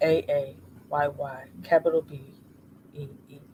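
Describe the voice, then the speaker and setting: A man speaks softly at a fairly high pitch, somewhat breathy and fairly slow. His intonation is monotone and flat. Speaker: streamer. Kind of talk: casual chat. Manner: soft-spoken.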